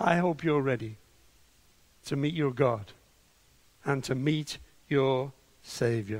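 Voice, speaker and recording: The pace is very slow, with long, frequent pauses. Pitch variation stays ordinary. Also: man, medium pitch for a man. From northern England, Liverpool. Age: 70s. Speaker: preacher and church leader. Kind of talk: sermon. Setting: online video call. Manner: loud.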